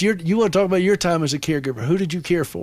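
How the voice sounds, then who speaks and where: A man's high voice with a Southern accent, very fast pace and ordinary pitch variation. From US South, upstate South Carolina (Anderson). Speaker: radio host. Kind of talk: call-in radio show.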